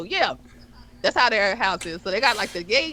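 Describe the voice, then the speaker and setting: Loud and animated, the voice has a bright, sharp tone and very wide pitch swings. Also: woman. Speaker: podcast co-host. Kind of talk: casual chat. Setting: live stream.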